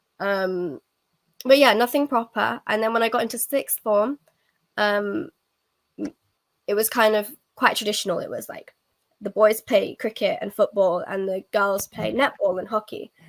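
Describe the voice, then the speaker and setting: With an English Midlands accent, the speaker keeps a moderate pace, ordinary pitch variation and long, frequent pauses, in a dry, close sound with no echo. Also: woman, fairly high pitch for a woman. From England, Nottingham. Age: 20s. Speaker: cricket ambassador, university student. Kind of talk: podcast interview. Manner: hesitant, many fillers.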